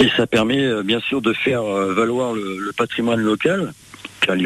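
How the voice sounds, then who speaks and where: Fairly low in pitch, a man talks at a fairly slow pace with ordinary pitch variation. There is noticeable background noise. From France, Creuse. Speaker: e-scooter tour business owner. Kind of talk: radio interview. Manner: hesitant, with fillers.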